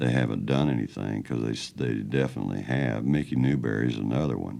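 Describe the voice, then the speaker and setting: A man's very deep, low voice carries noticeable vocal fry. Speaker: country singer. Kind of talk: interview answer. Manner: soft-spoken.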